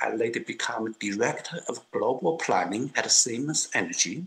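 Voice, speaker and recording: The voice has a Chinese accent and lively intonation. It moves at a moderate pace. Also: man. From China, Kunming (Yunnan). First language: Mandarin Chinese. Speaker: political activist. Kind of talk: interview testimony.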